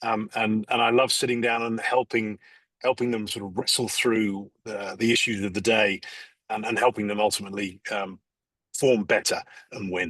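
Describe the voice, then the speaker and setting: This man speaks with an English accent in a monotone, flat intonation. The sound is dry and close, with no echo. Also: fairly low pitch for a man, moderate pace. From England, London. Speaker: executive coach. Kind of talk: podcast interview. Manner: halting, many fillers.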